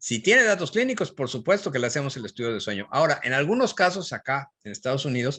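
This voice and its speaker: A man's fairly high, bright, sharp voice at a fairly quick pace, quiet background behind it. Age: 60s. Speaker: physician and professor. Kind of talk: Q&A after a lecture.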